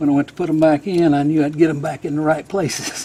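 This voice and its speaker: Noticeable background noise sits behind a man with a fairly high pitch. He keeps a moderate pace and fairly even intonation. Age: 60s. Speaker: hobby machinist and home mechanic. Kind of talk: casual DIY repair narration.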